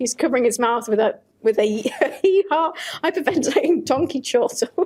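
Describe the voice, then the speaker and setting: A woman's high voice swings very widely in pitch over noticeable background noise. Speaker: PhD student and lecturer. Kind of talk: reading a story aloud.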